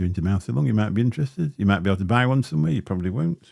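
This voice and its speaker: Lively intonation carries this speech along at a very fast pace. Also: man. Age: 50s. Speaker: vaping livestreamer. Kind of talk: casual livestream chat. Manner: casual, rambling with fillers. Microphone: Shure SM7B dynamic mic, some crackling.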